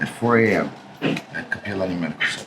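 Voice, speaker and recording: A man with a Hawaiian accent speaks over noticeable background noise. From Hawaii (Kaneohe, Oahu). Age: 60s. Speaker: Native Hawaiian community activist. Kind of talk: interview.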